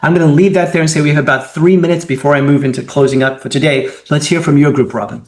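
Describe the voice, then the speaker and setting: A man talks at a very fast pace with hardly any pauses. His pitch is fairly high and his intonation fairly even. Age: 60s. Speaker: webinar moderator and consultant. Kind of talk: webinar discussion.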